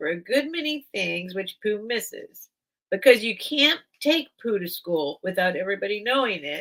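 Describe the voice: Here is plain reading aloud with lively intonation. The background is quiet.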